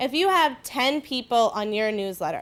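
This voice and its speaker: Fairly quick speech from a woman with a fairly high voice, on a very clean recording with a silent background. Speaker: marketing presenter. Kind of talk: workshop presentation. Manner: fast.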